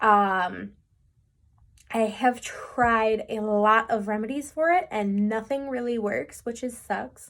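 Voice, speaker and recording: A woman's fairly high voice at a very slow pace with ordinary pitch variation. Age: 20s. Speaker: chronic pain vlogger. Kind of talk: personal testimony vlog. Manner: hesitant, many fillers.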